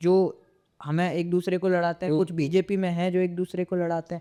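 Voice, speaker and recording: A man with a high pitch speaks in a dark, mellow tone with monotone, flat intonation. The sound is dry and close, with no echo. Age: 20s. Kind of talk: interview answer.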